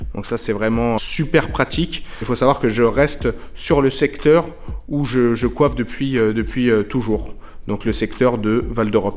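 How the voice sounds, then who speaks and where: A man's fairly slow speech, with ordinary pitch variation, sits over noticeable background noise. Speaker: hairdresser vlogger. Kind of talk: casual vlog. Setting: empty shop premises. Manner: soft-spoken; hesitant with fillers.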